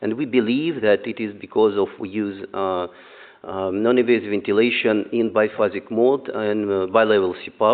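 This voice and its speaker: A man talks in a Russian accent at a moderate pace. His voice sits fairly low in pitch. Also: fairly even intonation. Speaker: neonatologist. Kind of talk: conference talk. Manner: halting, many fillers.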